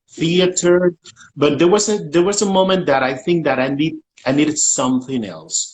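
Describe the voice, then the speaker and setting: Moderate pace with ordinary pitch variation. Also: man, high pitch for a man. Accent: Puerto Rican. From Puerto Rico. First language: Spanish. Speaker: writer, actor and director. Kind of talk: panel interview.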